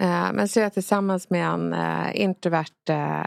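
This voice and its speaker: On a very clean recording with a silent background, a woman speaks at a fairly slow pace. The sound is dry and close, with no echo. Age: 30s. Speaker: rhetoric expert. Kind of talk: casual discussion.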